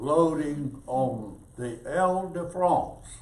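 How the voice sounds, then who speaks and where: A man's voice with ordinary pitch variation carries audible room echo. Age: 80s+. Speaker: war veteran. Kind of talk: storytelling talk to an audience.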